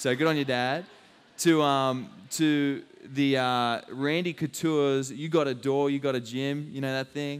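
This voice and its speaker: With an Australian accent, a man speaks at a fairly slow pace, his pitch fairly high and his intonation fairly even, on a very clean recording with a silent background. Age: 20s. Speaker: fitness trainer. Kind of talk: live fitness talk and demo. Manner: casual, filler-heavy.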